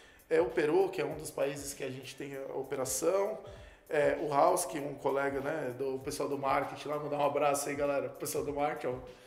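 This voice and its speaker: A fairly high-pitched man at a fairly quick pace, intonation fairly even, loudness swinging widely, with noticeable background noise and audible room echo. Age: 30s. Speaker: computer engineer and entrepreneur. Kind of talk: interview. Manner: hesitant, many fillers.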